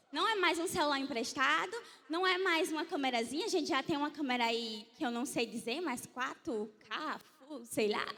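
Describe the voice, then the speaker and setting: A woman with an animated tone and very wide pitch swings at a moderate pace, amid noticeable background noise. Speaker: church media team leader. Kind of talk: church conference talk.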